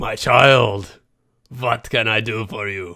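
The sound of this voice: A man's put-on character voice, raspy and medium in pitch, at a fairly slow pace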